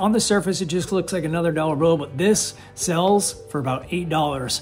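Faint music plays behind a man whose pitch varies in an ordinary way. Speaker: online reseller. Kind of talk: casual vlog chat. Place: office. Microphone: phone near.

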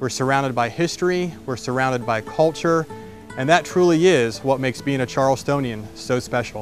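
A man with an American accent talks at a fairly quick pace and a medium pitch. The sound is dry with no echo, with clear music in the background. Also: ordinary pitch variation. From southwest Florida. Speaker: real estate agent. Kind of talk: promotional pitch. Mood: warm, relaxed, friendly. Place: street. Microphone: lapel.

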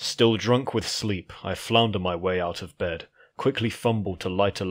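A natural voice, reading aloud

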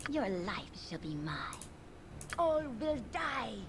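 A put-on character voice with a fairly high pitch talks at a very slow pace. Clear background noise runs underneath. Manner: menacing.

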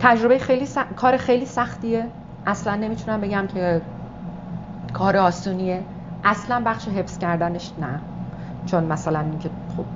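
Amid noticeable background noise, a woman speaks with ordinary pitch variation and long, frequent pauses. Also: moderate pace. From Iran. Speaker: stage actress and director. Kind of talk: interview answer. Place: meeting room.

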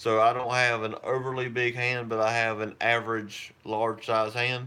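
A man's monotone, flat intonation. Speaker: prepping channel host. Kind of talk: casual live-stream chat. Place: home room. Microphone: phone near.

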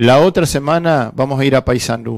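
The man has a medium pitch and ordinary pitch variation. The background is quiet. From Uruguay. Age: 50s. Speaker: union representative on social security board; guest. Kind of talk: interview. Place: studio. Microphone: headset.

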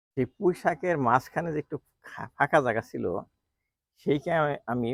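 The sound is dry and close with no echo as a man talks with vocal fry. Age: 60s. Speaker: home gardener, doctor. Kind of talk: garden tour vlog. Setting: outdoors on rooftop garden. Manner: casual, halting.

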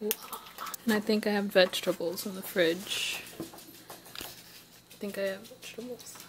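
A woman's very slow speech in a monotone, flat intonation, over light background noise. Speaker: vlogger. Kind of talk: casual vlog chat. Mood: emotional, reflective.

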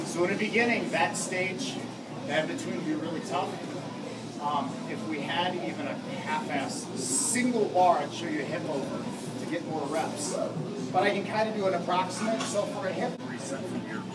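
Loud background noise fills the clip. The speech moves at a moderate pace. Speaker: strength coach. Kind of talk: coaching instruction. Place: gym. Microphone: camera far.

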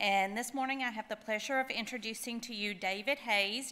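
Her voice bright and sharp, a woman talks at a fairly high pitch with ordinary pitch variation. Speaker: event emcee. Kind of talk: speaker introduction. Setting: stage with audience. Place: hall. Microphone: podium.

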